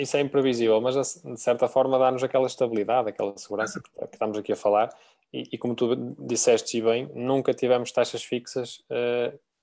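The loudness of this man's voice varies a great deal. He talks fairly quickly. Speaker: mortgage credit advisor. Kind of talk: live-streamed casual panel chat.

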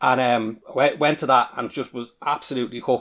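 A man with an Irish accent at medium pitch, fairly quick pace, very clean recording and silent background. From Ireland. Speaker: podcast guest. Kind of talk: casual discussion podcast.

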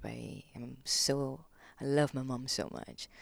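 Very deep, low-pitched woman's voice with a Malaysian accent, in a very clean recording with a silent background. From Malaysia, Kuala Lumpur. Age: 30s. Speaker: gong practitioner. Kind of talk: podcast interview. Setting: studio. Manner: nervous.

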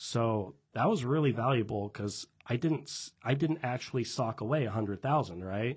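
A somewhat breathy voice with an American accent and ordinary pitch variation. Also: man, medium pitch for a man, moderate pace, hardly any pauses, quiet background. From Washington State, Tri-Cities. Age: 20s. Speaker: real estate investor and business owner. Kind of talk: casual interview chat.

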